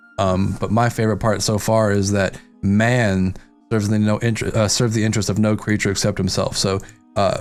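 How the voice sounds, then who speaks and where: This man speaks at a moderate pace in a fairly low pitch with a monotone, flat intonation. Noticeable background noise sits under his voice. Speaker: book discussion podcast host. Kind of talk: casual chat. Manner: halting.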